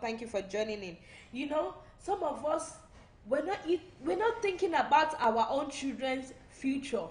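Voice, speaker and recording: Over noticeable background noise, the voice has an animated tone and lively intonation at a fairly slow pace. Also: woman. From Nigeria (Yoruba). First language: Yoruba. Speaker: online talk show host. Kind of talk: live-stream talk show monologue. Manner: animated, repetitive preaching style.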